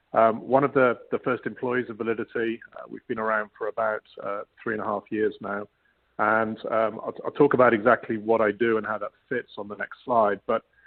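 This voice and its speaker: Speaking at a fairly quick pace in a British accent, a man holds a medium pitch with monotone, flat intonation. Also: big swings in loudness. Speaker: data solutions executive. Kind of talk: webinar panel presentation. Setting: live web broadcast.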